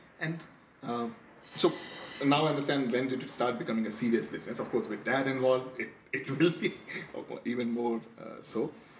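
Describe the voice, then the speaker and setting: A man of medium pitch at a fairly quick pace, with ordinary pitch variation, long, frequent pauses and noticeable background noise. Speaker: podcast host, journalist. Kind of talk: interview. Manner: hesitant, many fillers.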